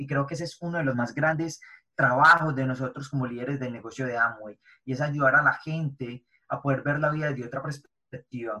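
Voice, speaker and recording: A man speaks very fast in a fairly high pitch. His tone is bright and sharp, and his intonation is fairly even. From Medellín, Colombia. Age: 20s. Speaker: network marketing entrepreneur and youth influencer. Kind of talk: interview.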